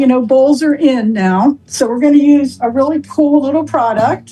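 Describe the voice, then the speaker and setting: There is noticeable background noise. A woman speaks at a high pitch with fairly even intonation. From England. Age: 70s. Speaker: cooking product presenter. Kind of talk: product demonstration. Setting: video call. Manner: casual, chatty.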